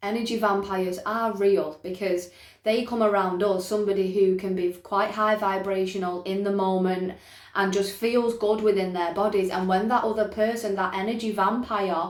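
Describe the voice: This woman talks at a moderate pace with a medium pitch and fairly even intonation. Room echo is audible around her voice.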